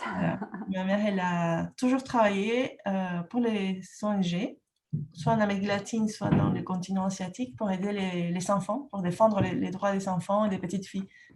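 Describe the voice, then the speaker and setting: A woman in a Peruvian accent talks at a moderate pace, with a medium pitch and ordinary pitch variation. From Peru, Lima. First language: Spanish (speaking French). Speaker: entrepreneur and trainer. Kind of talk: podcast interview. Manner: halting, many hesitations.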